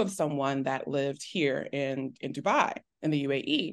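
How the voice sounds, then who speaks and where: Against a quiet background, a woman talks fairly slowly. She has an American accent. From Texas. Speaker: teacher. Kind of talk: casual interview chat.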